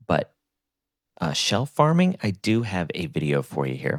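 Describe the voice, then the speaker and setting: A man speaks quietly. The sound is dry and close with no echo. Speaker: gaming content creator. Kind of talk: game guide commentary. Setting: home recording, early morning. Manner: quiet, speaking low.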